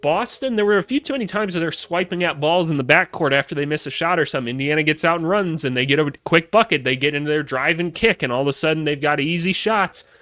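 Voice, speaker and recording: Delivered at a very fast pace with hardly any pauses, the speech has an animated tone and ordinary pitch variation. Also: man, fairly high pitch for a man. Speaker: basketball commentator, former college coach. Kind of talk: solo post-game reaction.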